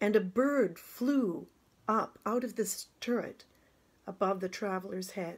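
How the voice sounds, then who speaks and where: A woman at a medium pitch with ordinary pitch variation, speaking at a fairly slow pace. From Canada. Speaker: actress and drama teacher. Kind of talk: poetry reading. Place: home room. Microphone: phone near.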